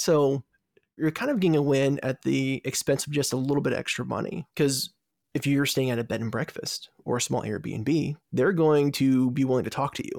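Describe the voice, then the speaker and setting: A man with an unremarkable speaking voice talks at a moderate pace with ordinary pitch variation, in a dry, close sound with no echo. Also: fairly high pitch for a man. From Virginia, US. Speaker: food travel podcast host. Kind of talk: interview.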